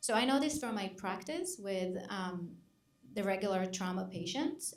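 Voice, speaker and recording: Audible room echo carries a woman's medium-pitched voice. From Israel. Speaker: psychologist. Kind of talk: panel discussion.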